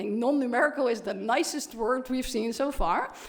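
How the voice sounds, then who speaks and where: A woman with a fairly high pitch and an animated tone at a very fast pace, amid audible room echo. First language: Dutch. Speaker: professor. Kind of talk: keynote lecture.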